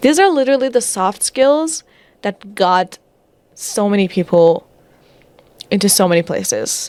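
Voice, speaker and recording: A woman with a non-native accent speaks at a fairly slow pace and medium pitch with lively intonation. Long, frequent pauses break up the dry, close sound with no echo. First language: not English. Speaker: data/career content creator. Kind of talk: casual commentary reading through a report. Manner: halting, self-correcting.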